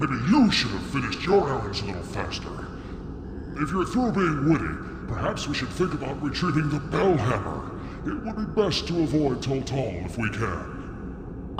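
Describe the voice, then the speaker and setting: A put-on character voice comes through loud background noise with a slight echo. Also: man, fairly high pitch for a man, moderate pace. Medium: game stream. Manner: formal, measured.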